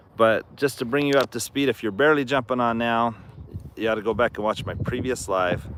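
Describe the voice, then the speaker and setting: This normal speaking voice moves at a fairly quick pace with fairly even intonation. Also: man, medium pitch for a man. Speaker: horse farm owner and channel host. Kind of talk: live stream chat.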